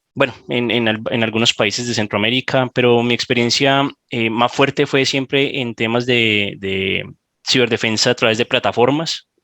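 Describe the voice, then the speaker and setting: In a very clean recording with a silent background, a man speaks with a Colombian accent. His tone is bright and sharp, his pitch medium and his intonation fairly even. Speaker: bank cybersecurity manager, panelist. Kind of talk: panel discussion. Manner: hesitant, many fillers.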